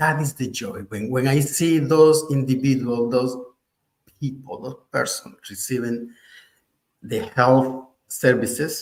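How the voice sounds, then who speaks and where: At a very slow pace broken by long, frequent pauses, a man with a medium pitch and ordinary pitch variation sounds somewhat breathy, his loudness swinging widely. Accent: Spanish. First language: Spanish. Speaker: artist and faith-based HIV program director. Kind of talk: panel discussion. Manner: halting.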